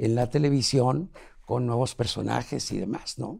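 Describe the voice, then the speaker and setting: This man has a dark, mellow tone and a Mexican accent. His pitch varies in an ordinary way. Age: 80s+. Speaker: TV producer. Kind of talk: interview.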